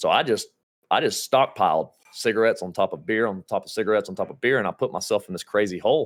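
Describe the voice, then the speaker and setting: A man speaks at a very fast pace with a Georgia accent. The sound is dry and close, with no echo. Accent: Georgia Southern US. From US South. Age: 30s. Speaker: gaming streamer. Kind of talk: casual chat. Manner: animated.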